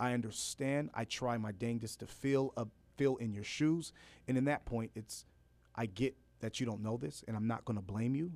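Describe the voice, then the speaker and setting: A man with an American accent talks at a moderate pace and a medium pitch. His pitch varies an ordinary amount, and the recording is very clean with a silent background. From Los Angeles, California. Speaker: rapper and educator. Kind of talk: radio interview.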